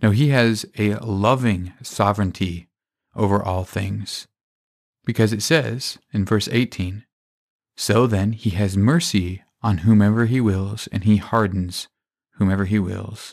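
In a very clean recording with a silent background, a man speaks fairly slowly in an unremarkable speaking voice, fairly low in pitch with ordinary pitch variation. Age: 20s. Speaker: Bible teacher podcaster. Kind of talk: Bible teaching monologue.

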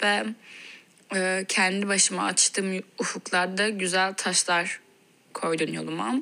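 A woman's bright, sharp tone moves with ordinary pitch variation. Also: very clean recording, silent background. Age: 20s. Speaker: listener sending a voice message. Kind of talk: recorded voice-message question.

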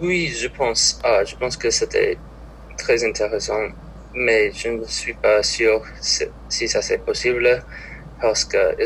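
With an English accent, a man talks at a very slow pace against noticeable background noise. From Minnesota. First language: English (speaking French). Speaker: college student. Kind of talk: casual interview. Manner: halting.

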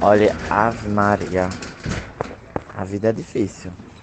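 A man's fairly low voice is heard with noticeable background noise behind it. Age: 20s. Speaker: singer and podcast host. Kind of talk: casual chat.

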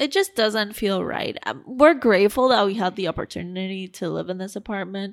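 A woman speaks at a fairly quick pace with hardly any pauses, in a plain, everyday voice. Her medium pitch shows ordinary variation on a very clean recording with a silent background. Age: 20s. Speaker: podcast co-host. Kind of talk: casual chat.

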